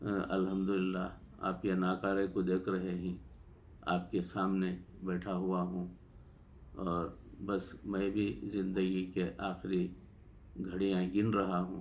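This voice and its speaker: A man's very deep, low voice, very even in loudness, with long, frequent pauses and audible room echo. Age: 70s. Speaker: Sufi spiritual healer. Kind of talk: storytelling. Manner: halting, many fillers.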